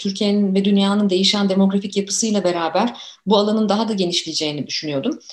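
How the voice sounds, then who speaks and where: This woman talks at a very fast pace. Her medium-pitched voice is somewhat breathy. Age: 40s. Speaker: youth researcher and author. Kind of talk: interview.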